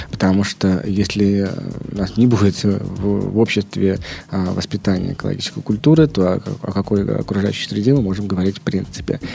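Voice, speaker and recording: A man talks with a fairly low voice and ordinary pitch variation, keeping to a moderate pace. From Leningrad Oblast, Russia. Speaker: head of an ecological foundation. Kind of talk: interview. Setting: studio. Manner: halting.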